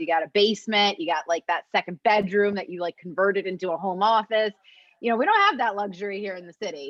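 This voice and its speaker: Here a woman talks at a very fast pace. Her pitch varies in an ordinary way. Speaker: program manager hosting professional development webinar. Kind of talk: webinar facilitation, casual chat. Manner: loud.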